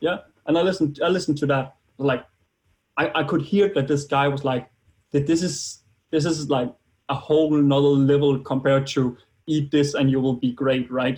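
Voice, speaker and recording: With a Danish accent, a man speaks at a moderate pace in a somewhat breathy, fairly high voice, his intonation fairly even and his loudness very even. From Denmark. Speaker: biohacking enthusiast. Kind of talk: interview. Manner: halting.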